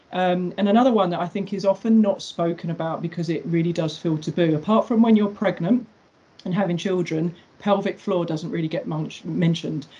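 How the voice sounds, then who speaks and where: A woman's somewhat breathy, dark, mellow voice, fairly low in pitch, fairly quick, with fairly even intonation. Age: 40s. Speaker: personal trainer. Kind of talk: casual chat.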